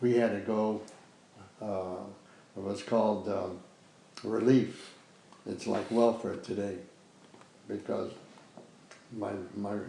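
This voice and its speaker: A man with an American accent speaks at a very slow pace in a fairly low, monotone voice with flat intonation, leaving long and frequent pauses, and the room echo is audible. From US Midwest, Chicago west side. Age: 90s. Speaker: war veteran. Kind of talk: oral history interview. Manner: halting.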